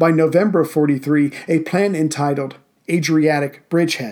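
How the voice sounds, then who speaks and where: At a fairly slow pace, a man talks in a fairly high pitch with a dark, mellow tone and ordinary pitch variation. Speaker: podcast host. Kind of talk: history documentary narration, scripted. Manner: measured, formal; steady, authoritative storytelling pace.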